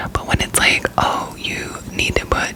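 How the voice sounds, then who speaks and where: A woman whispers over noticeable background noise. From Florida, US South. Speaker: ASMR creator. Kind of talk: whispered ramble. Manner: whispering; gum chewing.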